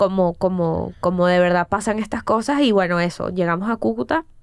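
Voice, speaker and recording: A woman with a Caracas Venezuelan accent at a moderate pace. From Venezuela, Caracas. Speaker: TV and comedy producer. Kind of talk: casual interview.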